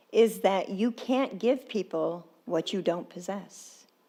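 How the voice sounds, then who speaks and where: Lively intonation carries this fairly slowly paced speech. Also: woman. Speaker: guest speaker. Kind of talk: sermon.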